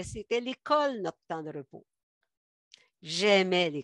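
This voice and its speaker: A woman with a Quebec accent speaks at a fairly slow pace with very wide pitch swings, the sound dry and close with no echo against a quiet background. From Quebec, Montérégie. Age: 70s. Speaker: guest giving a faith testimony. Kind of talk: testimony. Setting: video call.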